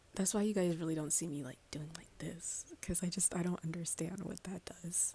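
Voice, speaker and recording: A soft-spoken woman talks at a moderate pace in a fairly low voice. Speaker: ASMR creator; nursing student. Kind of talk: casual talk to camera, Q&A.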